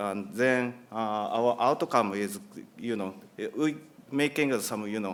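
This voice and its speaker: Speaking in a Japanese accent, a man uses a medium pitch and ordinary pitch variation at a moderate pace. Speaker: company executive. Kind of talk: conference presentation. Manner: halting.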